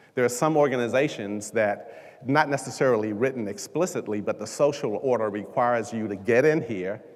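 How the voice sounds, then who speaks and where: The man has an ordinary speaking voice with a medium pitch. His pace is moderate. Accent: American. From US, Washington DC. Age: 60s. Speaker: leadership coach. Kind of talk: keynote speech. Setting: stage with audience.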